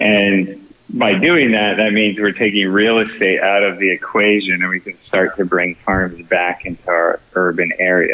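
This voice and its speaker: In an American accent, a man with an unremarkable speaking voice and fairly low pitch speaks at a moderate pace with fairly even intonation and hardly any pauses. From Texas, San Antonio. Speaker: film producer and farming entrepreneur. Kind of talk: podcast interview.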